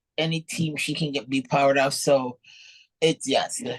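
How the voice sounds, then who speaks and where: A woman's very deep, low voice with a Jamaican accent, fairly slow and monotone, in a dry, close recording with no echo. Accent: Jamaican, charming. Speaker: professional bodybuilder. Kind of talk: interview. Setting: podcast.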